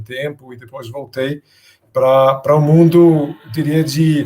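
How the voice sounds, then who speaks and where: Intonation stays fairly even as this voice moves at a fairly slow pace. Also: man. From Denmark. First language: Danish (speaking Portuguese). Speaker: business innovation speaker. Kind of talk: interview. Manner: halting, with many fillers.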